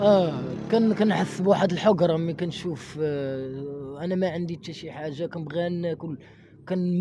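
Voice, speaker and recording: Against noticeable background noise, a man speaks at a high pitch with ordinary pitch variation and big swings in loudness. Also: dry sound with no echo. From Morocco, Casablanca. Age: 20s. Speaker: former orphanage resident; interviewee. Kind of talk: testimony. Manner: halting. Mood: sad, resigned. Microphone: handheld.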